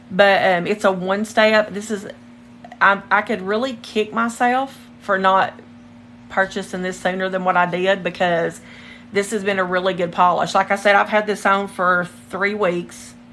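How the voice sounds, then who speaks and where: A woman talks at a moderate pace and medium pitch in a monotone, flat intonation. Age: 40s. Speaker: nail technician livestreaming her work. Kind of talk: casual livestream chat. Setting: home livestream.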